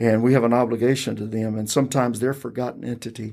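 A man with a North Carolina accent, dark and mellow in tone, in a flat, monotone delivery. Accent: southern US (North Carolina). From US South, rural Robeson County, North Carolina. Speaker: county tax director and pastor. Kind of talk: interview.

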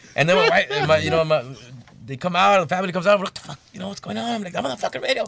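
A man with an American accent talks very fast in an animated tone, his loudness swinging widely over noticeable background noise. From Bell, California. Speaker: musician. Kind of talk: casual chat.

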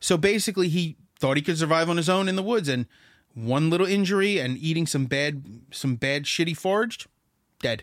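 Recorded very cleanly against a silent background, a man speaks in a plain, everyday voice at a fairly high pitch. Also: lively intonation. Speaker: music podcast co-host. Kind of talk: casual chat. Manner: profane, joking.

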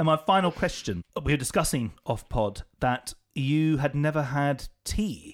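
In a very clean recording with a silent background, a man with a plain, everyday voice talks at a fairly slow pace with hardly any pauses, using a fairly high pitch, lively intonation and very even loudness. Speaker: podcast host. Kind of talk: casual interview chat. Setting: studio.

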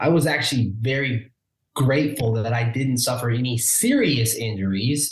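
With an American accent, a man talks at a moderate pace and medium pitch, somewhat breathy. Audible room echo surrounds him. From Omaha, Nebraska. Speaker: realtor. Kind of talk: interview conversation.

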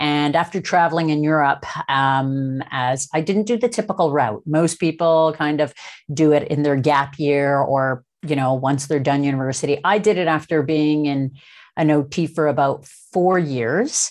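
In a very clean recording with a silent background, a woman with a Canadian accent talks at a moderate pace in a very deep, low pitch, with ordinary pitch variation and very even loudness. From Toronto, Canada. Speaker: occupational therapist and real estate investor. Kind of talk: interview.

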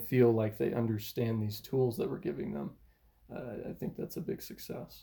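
Using lively intonation, a man speaks at a moderate pace and medium pitch in a somewhat breathy, dark, mellow tone. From US, military family, moved around a lot. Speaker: physical therapist. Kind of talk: casual interview.

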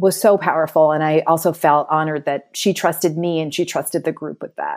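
A woman with an American accent and a very deep, low pitch speaks with fairly even intonation in a very clean recording with a silent background. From Connecticut, US. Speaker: psychotherapist. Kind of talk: interview.

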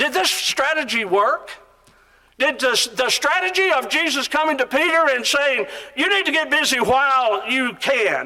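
A man's raised, projected voice at an extremely high pitch, lively in intonation, moderate in pace and very even in loudness. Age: 60s. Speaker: preacher. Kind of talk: sermon. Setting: auditorium with audience.

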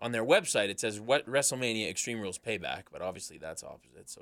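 The delivery is fairly brisk. It is an ordinary speaking voice. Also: man. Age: 20s. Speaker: wrestling podcast host. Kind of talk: casual chat.

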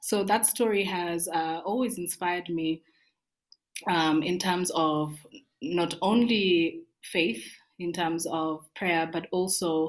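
The woman's delivery is very slow. Her fairly low pitch shows ordinary variation. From Kenya (Kericho). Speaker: guest speaker. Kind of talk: interview. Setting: remote call from Nairobi.

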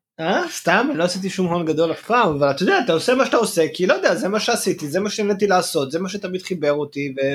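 With an Israeli accent, a man with a high voice races at a very fast pace, his intonation lively and hardly any pauses in between. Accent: Israeli Hebrew. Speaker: podcast co-host. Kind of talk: casual chat.

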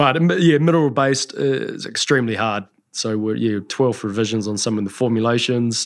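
The speaker has a New Zealand accent, a fairly quick pace and ordinary pitch variation. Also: man, medium pitch for a man. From New Zealand, Taranaki. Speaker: skincare entrepreneur. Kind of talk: interview.

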